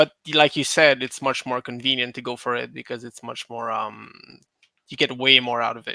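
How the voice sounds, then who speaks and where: A man with a non-native accent speaks at a moderate pace in a medium pitch, his bright, sharp tone flat and monotone but with big swings in loudness, in a very clean recording with a silent background and a dry, close sound with no echo. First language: not English. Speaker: gamer guest on podcast. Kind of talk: casual chat. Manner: halting, many fillers.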